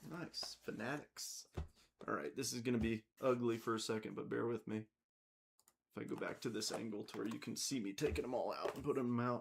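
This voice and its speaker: Vocal fry runs through this man's voice. He talks at a fairly quick pace. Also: medium pitch for a man, ordinary pitch variation. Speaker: card break host. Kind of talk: live stream card break. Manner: casual, chatty.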